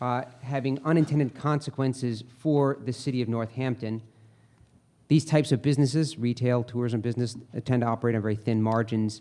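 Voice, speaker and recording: With fairly even intonation, a man talks at a fairly quick pace and a medium pitch. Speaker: economic consultant. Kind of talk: formal presentation. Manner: fast.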